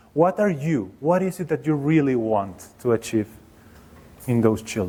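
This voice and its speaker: With a Mexican accent, a man speaks at medium pitch and a moderate pace. His tone is dark and mellow, and his pitch swings very widely. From Mexico. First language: Spanish. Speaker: professor of education. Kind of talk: workshop presentation. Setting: seminar room with audience.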